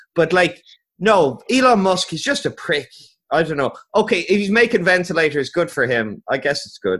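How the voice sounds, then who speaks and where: With an Irish accent, a high-pitched man speaks at a moderate pace, his pitch swinging very widely and his loudness in big swings, on a very clean recording with a silent background. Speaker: podcast host. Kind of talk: casual chat.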